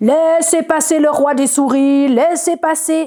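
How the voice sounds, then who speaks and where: A put-on character voice from a woman, high-pitched and fairly slow. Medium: read story. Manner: menacing.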